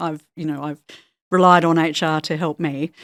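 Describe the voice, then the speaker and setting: An Australian accent comes through at a moderate pace with ordinary pitch variation. The recording is very clean, with a silent background and a dry, close sound with no echo. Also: woman. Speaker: HR executive. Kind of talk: podcast interview.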